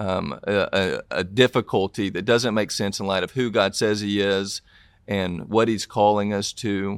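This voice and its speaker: In a Southern US accent, a man speaks at a fairly slow pace and fairly low pitch with monotone, flat intonation, the sound dry and close with no echo. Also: very clean recording, silent background. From US South, Tennessee. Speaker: author and pastor. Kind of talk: interview.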